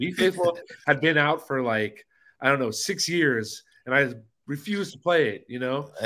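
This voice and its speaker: Lively intonation marks this man's bright, sharp tone, pitched fairly high and delivered with an American accent. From Los Angeles, US. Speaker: DJ and video DJ. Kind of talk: casual chat.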